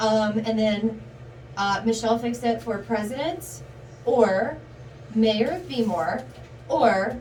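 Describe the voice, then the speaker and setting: Amid noticeable background noise and audible room echo, a woman with an American accent speaks at a fairly high pitch. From Baltimore, US. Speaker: streamer, channel owner. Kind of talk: casual chat. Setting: livestream from a bathroom.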